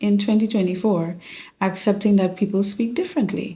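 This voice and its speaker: This woman's medium-pitched voice has a dark, mellow tone and is somewhat breathy. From Grenada. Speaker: podcast host. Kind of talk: solo podcast monologue. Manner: conversational.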